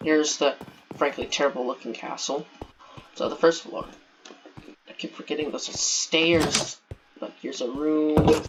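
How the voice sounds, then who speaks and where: Against music in the background, a man speaks at a moderate pace and fairly high pitch, with fairly even intonation, long, frequent pauses, and big swings in loudness. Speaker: gaming video creator. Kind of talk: game walkthrough narration.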